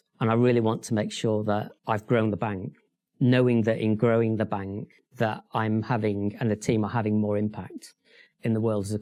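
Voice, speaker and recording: Here a man with a dark, mellow tone and fairly low pitch speaks at a moderate pace in a monotone, flat way. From northern England, Sheffield. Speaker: bank chief executive. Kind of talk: interview.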